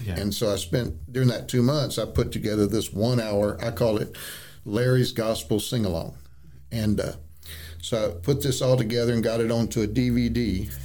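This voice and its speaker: This man's voice sits fairly low in pitch and has a dark, mellow tone. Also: ordinary pitch variation, moderate pace. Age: 60s. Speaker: traveling nursing home music minister. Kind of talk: interview storytelling. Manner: halting, many fillers.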